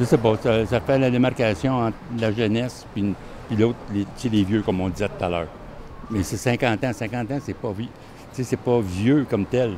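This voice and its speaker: A man's medium pitch at a moderate pace with ordinary pitch variation. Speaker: vox pop interviewee. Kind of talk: street interview.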